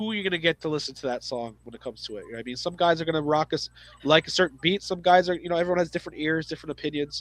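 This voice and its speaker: A man talking at a very fast pace with a fairly high pitch. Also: ordinary pitch variation. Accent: Canadian. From Canada. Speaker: podcast host. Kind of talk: casual chat. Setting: live stream. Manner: halting.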